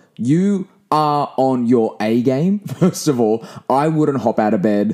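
A man's dark, mellow tone with lively intonation. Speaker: podcast host. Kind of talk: casual solo podcast monologue.

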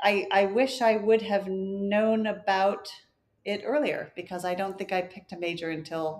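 With an American accent, this woman has a plain, everyday voice of medium pitch and ordinary pitch variation. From US, Florida (Clearwater) and Wisconsin. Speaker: communications strategist. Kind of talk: interview.

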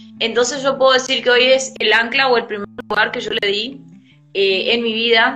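Noticeable background noise behind a woman's fairly high voice, with fairly even intonation at a moderate pace. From Argentina, Formosa. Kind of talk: casual faith discussion.

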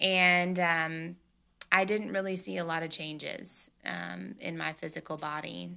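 Against a quiet background, a woman with a Southern US accent speaks at a fairly slow pace. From Tennessee. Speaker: podcast host. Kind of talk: casual solo talk.

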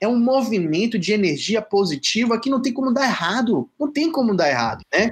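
A man is speaking. His intonation is lively. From Salvador, Bahia, Brazil. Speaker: writer and playwright. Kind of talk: interview.

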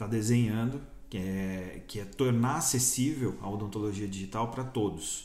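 Heard with audible room echo, a man talks at a moderate pace in a fairly low pitch with ordinary pitch variation. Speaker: dentist and dental business owner. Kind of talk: casual interview chat.

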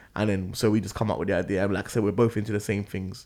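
This man has a fairly low voice and a London accent. The recording is very clean, with a silent background. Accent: London, multicultural London English. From northwest London. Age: 30s. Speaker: grime MC. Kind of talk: casual interview chat.

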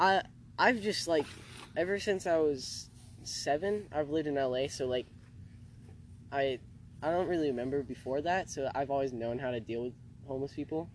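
Someone with a Californian accent speaks at a moderate pace, leaving long, frequent pauses. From Los Angeles, California (Venice). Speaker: podcast co-host. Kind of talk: casual chat. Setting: outdoors. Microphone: laptop mic.

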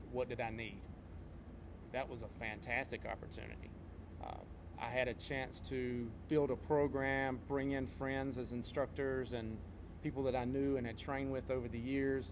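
Here a man with an American accent speaks in a monotone, flat intonation at medium pitch and a moderate pace. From North Carolina. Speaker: podcast co-host, martial arts instructor and competitor. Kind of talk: casual podcast chat.

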